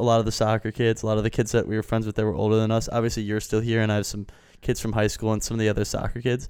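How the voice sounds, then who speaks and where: A man with an American accent and a medium pitch. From Wisconsin, US Midwest. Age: 20s. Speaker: podcast co-host, college student. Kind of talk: casual chat.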